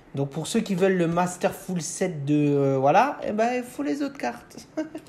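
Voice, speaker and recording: In a Moselle accent, a man speaks at a high pitch with very wide pitch swings. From France, Moselle (Lorraine). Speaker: Pokémon card collector YouTuber. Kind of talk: unboxing video. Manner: hesitant, many fillers.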